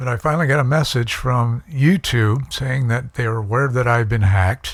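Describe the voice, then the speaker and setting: A man talks at a medium pitch, his voice somewhat breathy and his pitch variation ordinary. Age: 60s. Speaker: YouTuber. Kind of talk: casual vlog monologue. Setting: at home. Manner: halting, many fillers.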